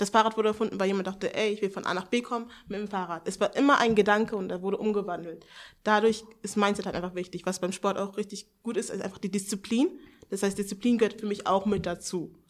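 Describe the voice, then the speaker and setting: A woman speaks very fast, her intonation staying fairly even. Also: medium pitch for a woman. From Hannover, northern Germany. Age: 20s. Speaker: seminar participant. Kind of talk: casual chat. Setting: seminar room with live audience.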